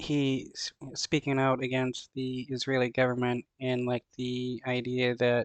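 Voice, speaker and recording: At a fairly slow pace, a man with a medium pitch talks in a monotone, flat intonation, with a dry, close sound with no echo. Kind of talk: casual commentary on a news clip. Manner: hesitant, filler-heavy.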